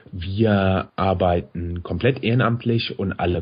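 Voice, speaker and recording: A man's somewhat breathy speech at a very slow pace. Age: 30s. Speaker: podcast host. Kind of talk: casual chat.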